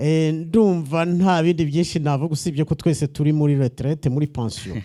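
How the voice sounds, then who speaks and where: A man with a Rwandan accent, fairly high pitch, ordinary pitch variation, a dark, mellow tone and a moderate pace. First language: Kinyarwanda (speaking French). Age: 70s. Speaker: visiting pastor. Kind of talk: church greeting with interpreter. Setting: church.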